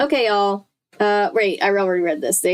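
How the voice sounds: A natural reading voice with fairly even intonation plays over a quiet background.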